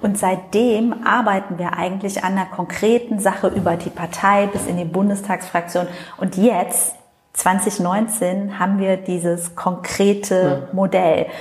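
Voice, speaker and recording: The speech comes at a fairly slow pace with fairly even intonation, set against noticeable background noise. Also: woman, medium pitch for a woman. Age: 40s. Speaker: member of parliament. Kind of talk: interview. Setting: constituency office meeting room.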